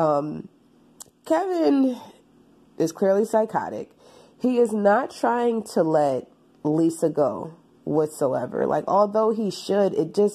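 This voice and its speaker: A woman's medium-pitched voice with very wide pitch swings, very slow pacing and long, frequent pauses. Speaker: book reviewer. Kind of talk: book review. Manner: casual, many fillers.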